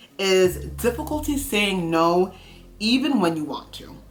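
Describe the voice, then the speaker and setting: A woman speaks with lively intonation at a medium pitch. Music plays in the background. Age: 30s. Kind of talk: casual talk to camera.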